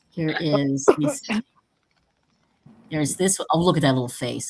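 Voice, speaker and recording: At a fairly quick pace, a woman talks in a fairly low voice. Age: 60s. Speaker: paranormal talk show host, witch. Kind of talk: casual chat. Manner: animated.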